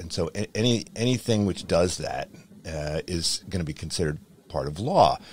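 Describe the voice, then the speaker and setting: A man speaks in a very deep, low pitch, recorded dry with no echo. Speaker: podcast host. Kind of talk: interview question. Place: home room. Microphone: studio mic.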